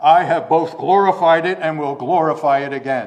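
Using a put-on character voice, a man speaks at a fairly high pitch and a moderate pace.

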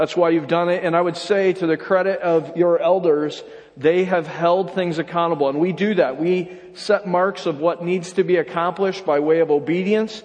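Over noticeable background noise, a man with an American accent speaks at a moderate pace and high pitch, his intonation fairly even. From upstate New York. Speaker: pastor. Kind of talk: sermon. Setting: church.

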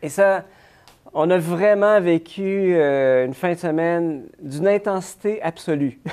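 Pitch moves in an ordinary way. The delivery is very slow. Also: man, high pitch for a man. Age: 40s. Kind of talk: interview. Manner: halting.

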